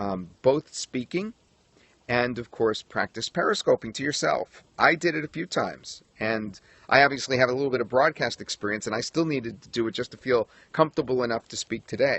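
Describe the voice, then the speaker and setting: This man speaks with an American accent at a moderate pace. His pitch is medium and his intonation lively. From New York. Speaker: broadcaster and periscope coach. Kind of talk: tutorial. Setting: outdoors livestream on a tripod.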